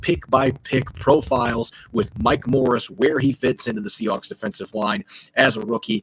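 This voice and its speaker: At a moderate pace, a man speaks in a somewhat breathy voice, the sound dry and close with no echo. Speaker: sports podcast host. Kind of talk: sports podcast discussion. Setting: remote recording while travelling.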